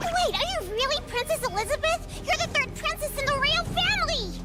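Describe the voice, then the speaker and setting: Squeaky and extremely high in pitch, a cartoonish character voice rattles along at a fairly quick pace with clear music in the background. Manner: excitable, whiny.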